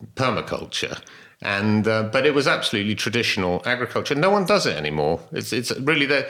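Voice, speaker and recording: A man with a medium pitch and a bright, sharp tone speaks at a fairly quick pace. His voice has vocal fry and very wide pitch swings. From Devon, England. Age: 50s. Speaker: organic farmer. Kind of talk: interview conversation. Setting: at his farmhouse.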